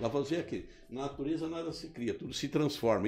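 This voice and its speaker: Music plays in the background as a man with a fairly high voice talks at a fairly quick pace. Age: 70s. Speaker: politician. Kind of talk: interview. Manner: halting.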